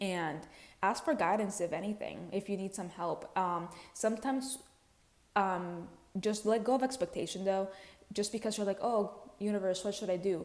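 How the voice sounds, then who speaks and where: With a non-native accent, a woman speaks at a moderate pace and a medium pitch, with ordinary pitch variation. She takes long, frequent pauses. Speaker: spiritual content creator. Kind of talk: casual spiritual talk to camera. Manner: casual, conversational with fillers.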